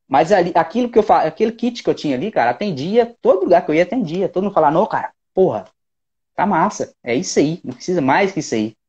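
A man speaks with vocal fry and very wide pitch swings over a quiet background. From Minas Gerais, Belo Horizonte. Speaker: percussionist; guest. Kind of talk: casual chat. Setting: video call. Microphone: earbuds.

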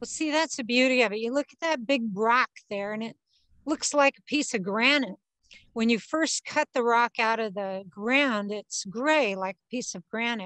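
A woman speaks at a moderate pace in a bright, sharp tone, her loudness swinging widely. Her pitch varies in an ordinary way, with a quiet background and a dry sound with no echo. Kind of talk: interview answer. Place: garden.

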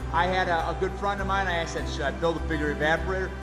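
A man talks while clear music plays behind him. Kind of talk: casual vlog chat. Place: workshop. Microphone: phone near.

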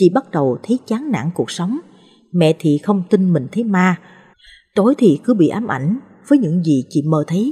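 This woman's fairly low voice has a dark, mellow, somewhat breathy tone, very wide pitch swings, and a fairly slow pace. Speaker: story narrator. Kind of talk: reading aloud a ghost story.

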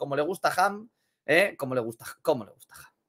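A man's raised, projected voice, bright and sharp in tone, with lively intonation over a quiet background. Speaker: NBA YouTuber; NBA news streamer. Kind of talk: sports commentary video. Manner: animated. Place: home room.

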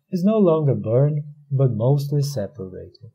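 With audible room echo, a man in a Portuguese accent speaks at a moderate pace, his fairly high pitch carrying lively intonation and a dark, mellow, somewhat breathy tone. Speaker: academic researcher. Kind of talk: conference presentation. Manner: formal.

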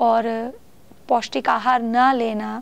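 A woman with a non-native accent and a fairly high pitch speaks at a very slow pace. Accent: non-native Hindi. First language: not Hindi (speaking Hindi). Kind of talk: talk to camera; casual talk to camera. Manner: halting, many fillers. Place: home room.

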